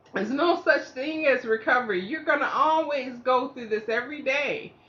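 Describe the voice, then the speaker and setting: Loud and high-pitched, a woman talks at a fairly slow pace with lively intonation. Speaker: stroke survivor sharing motivational talk. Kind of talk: casual motivational monologue. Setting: indoors at home. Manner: halting, effortful speech; fluctuating volume, can sound snippy or loud.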